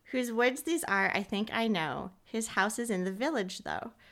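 A woman's plain, everyday voice, fairly high in pitch with lively intonation, at a fairly slow pace. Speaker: podcast co-host, cancer patient. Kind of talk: poetry reading, warm and lightly comic, with flubs. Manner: expressive, giggly, conversational.

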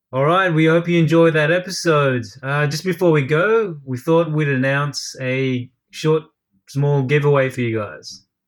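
The speech moves at a fairly slow pace with ordinary pitch variation, in a very clean recording with a silent background. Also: man, fairly high pitch for a man. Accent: Australian. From Australia (Brisbane), Filipino heritage. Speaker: podcast co-host, writer and former marketing agency owner. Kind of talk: casual chat. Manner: joking, laughs often.

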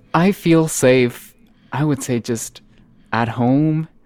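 A man speaks with a Spanish accent and ordinary pitch variation. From northern Mexico, Monterrey. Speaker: singer-songwriter. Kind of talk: interview conversation.

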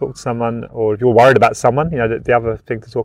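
Speaking very fast, a man with a British accent keeps a medium pitch. His intonation stays fairly even. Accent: British, noticeable. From UK. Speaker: gambling help community engagement officer. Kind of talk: interview.

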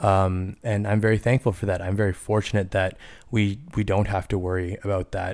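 Flat, monotone intonation carries a fairly quick delivery on a very clean recording with a silent background. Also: man. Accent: Canadian. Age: 30s. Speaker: podcast host and high school teacher. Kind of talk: casual solo podcast monologue.

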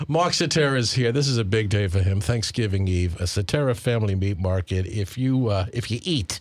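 With noticeable background noise, a man speaks at a fairly quick pace and fairly low pitch, with hardly any pauses. His intonation is lively and his loudness very even. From Long Island, New York (Suffolk County). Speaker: radio host. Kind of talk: radio interview.

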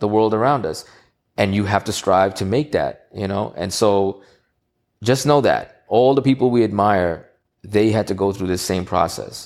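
This man's fairly low voice, with ordinary pitch variation, proceeds at a moderate pace. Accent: New York. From New York, Queens. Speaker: entrepreneur and audio engineer. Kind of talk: interview chat.

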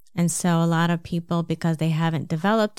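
A fairly low-pitched woman's voice with a slight New Jersey accent, fairly quick and monotone with flat intonation, on a very clean recording with a silent background. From New Jersey, US. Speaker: podcast host and health coach. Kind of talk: solo podcast monologue, advice talk.

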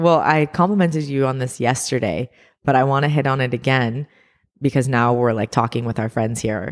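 With a very deep, low pitch and an animated tone, a woman talks at a fairly quick pace with ordinary pitch variation in a very clean recording over a silent background. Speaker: podcast co-host. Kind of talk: casual chat. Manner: animated, laughing.

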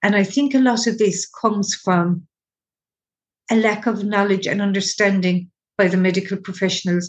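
A somewhat breathy woman with an Irish accent, medium pitch, fairly even intonation, very even loudness, and a moderate pace. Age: 60s. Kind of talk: interview.

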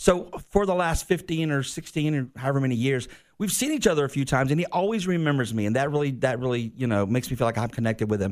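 In a very clean recording with a silent background, a man with a Southern US accent talks at a very fast pace, his fairly high voice moving with lively intonation. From Georgia, US South. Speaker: radio host. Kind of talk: casual chat.

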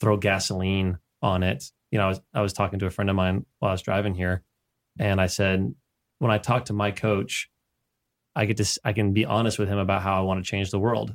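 An unremarkable speaking voice: a man with a fairly low pitch and fairly even intonation at a fairly quick pace, dry and close with no echo, on a very clean recording with a silent background. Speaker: coach. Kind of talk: casual interview chat.

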